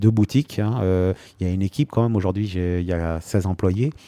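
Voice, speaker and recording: A man with a dark, mellow tone, fairly low pitch and ordinary pitch variation, at a moderate pace, dry and close with no echo on a very clean recording with a silent background. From France, Normandy (Rouen). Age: 50s. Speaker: pastry chef. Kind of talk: interview. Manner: hesitant, many fillers.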